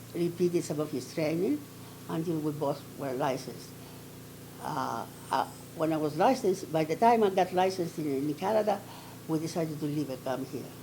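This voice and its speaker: A woman speaks in a Greek accent with a very deep, low pitch and ordinary pitch variation. Her pace is moderate, broken by long, frequent pauses. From Athens, Greece. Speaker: retired dentist and dental professor. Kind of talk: oral history interview answer.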